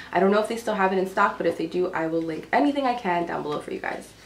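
A woman speaks quietly against light background noise. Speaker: home decor vlogger. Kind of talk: casual talk to camera, haul video. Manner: quiet, low-pitched. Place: home room. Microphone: camera far.

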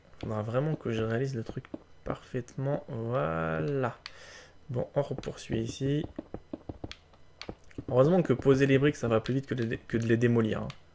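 Speaking at a medium pitch with ordinary pitch variation, a man goes at a fairly slow pace with long, frequent pauses. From Polish-French. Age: 20s. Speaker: gaming YouTuber. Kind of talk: casual gameplay commentary.

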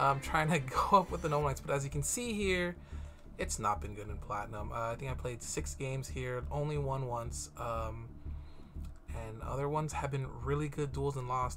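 Clear music plays in the background as the speaker goes at a fairly quick pace. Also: man. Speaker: gaming youtuber. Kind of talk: casual gameplay commentary. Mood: relaxed, laughing a bit.

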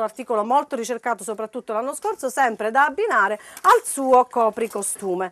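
A woman talks in an animated, upbeat tone. Her pace is fairly quick, with ordinary pitch variation. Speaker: shop promoter. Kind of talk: sales pitch; street-seller style TV promo, reeling off prices and repeating discounts. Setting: shop showroom, on-camera TV promo. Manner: animated, insistent, upbeat salesman delivery. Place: shop.

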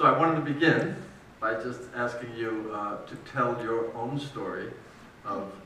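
With light background noise and audible room echo, a man of medium pitch speaks at a moderate pace with ordinary pitch variation. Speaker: editor and interviewer. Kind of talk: interview at a public book talk. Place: church. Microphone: camera far.

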